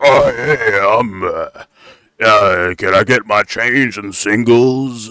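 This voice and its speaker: Very slowly, a man delivers a put-on character voice. It sits at a medium pitch with fairly even intonation. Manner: put-on, slurred, hesitant.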